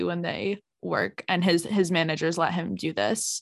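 Vocal fry runs through the voice, which has ordinary pitch variation over a quiet background. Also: woman. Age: 20s. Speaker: podcast co-host. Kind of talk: casual chat. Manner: animated.

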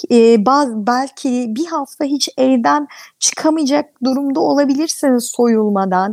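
Speaking at a very slow pace, a woman has a high voice. Her pitch varies in an ordinary way. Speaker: dermatologist. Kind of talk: interview. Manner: halting, many fillers.

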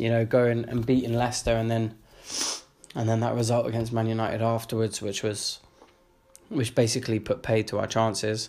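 With a London accent, a man talks at a fairly quick pace and medium pitch. His intonation is monotone and flat, with music in the background. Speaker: football podcaster. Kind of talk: casual monologue.

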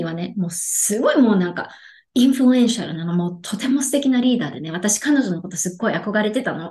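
Speaking very fast, a woman with a medium-pitched, somewhat breathy voice uses lively intonation. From Japan, Yokohama. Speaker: life coach. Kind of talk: casual interview.

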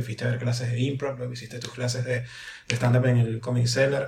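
Monotone, flat intonation marks this man's medium-pitched speech. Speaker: podcast host. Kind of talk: casual chat.

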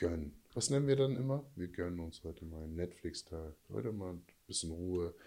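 A man speaks at a fairly quick pace with a very deep, low pitch and a dark, mellow tone. His pitch swings very widely. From USA, moved to Germany at about 12. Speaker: life coach, former prisoner and football player. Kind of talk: casual chat.

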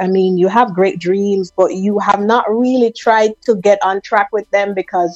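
At a moderate pace, the voice sounds dry and close with no echo, with music in the background. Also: woman. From Jamaica, Kingston. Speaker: motivational speaker. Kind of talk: personal story interview. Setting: phone call.

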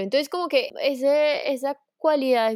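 A woman's voice with ordinary pitch variation, dry and close with no echo, on a very clean recording over a silent background. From Colombia, Manizales. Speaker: mother telling her story. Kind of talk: casual interview.

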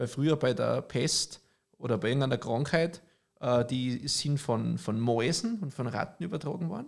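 Speaking at a moderate pace, a man has an unremarkable speaking voice, fairly high in pitch, with lively intonation. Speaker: podcast co-host. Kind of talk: casual chat.

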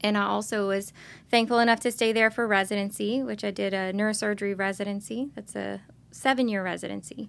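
With an unremarkable speaking voice and an American accent, a woman talks at a medium pitch and a fairly quick pace with ordinary pitch variation in a very clean recording with a silent background. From US South, Lockport, Louisiana (Lafourche Parish). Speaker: neurosurgeon. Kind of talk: interview.

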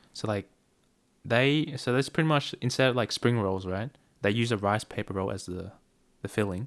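At a moderate pace with long, frequent pauses, a man with an Australian accent speaks at a medium pitch with ordinary pitch variation in a very clean recording with a silent background. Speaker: podcast co-host. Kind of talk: casual chat.

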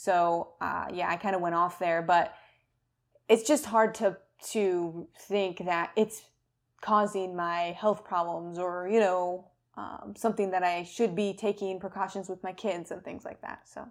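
On a very clean recording with a silent background, a woman with an ordinary speaking voice talks fairly slowly at medium pitch, her intonation fairly even but her loudness swinging widely. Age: 30s. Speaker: health podcast co-host, doctor. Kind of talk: casual chat.

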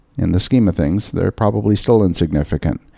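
This man's dark, mellow voice sits fairly low in pitch, with a Canadian accent, recorded dry and close with no echo. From Canada. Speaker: podcast host. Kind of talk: solo podcast monologue. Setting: recording while travelling in Rome.

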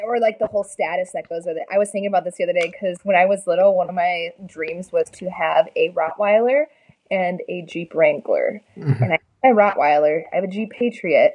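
This is an unremarkable speaking voice with an American accent. It keeps a fairly quick pace and ordinary pitch variation. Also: woman, medium pitch for a woman. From Minnesota. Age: 20s. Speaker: bodybuilder. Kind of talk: casual chat.

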